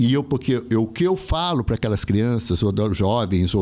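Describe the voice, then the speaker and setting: A man keeps a moderate pace while his pitch swings very widely. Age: 60s. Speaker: theatre artist. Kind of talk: casual chat.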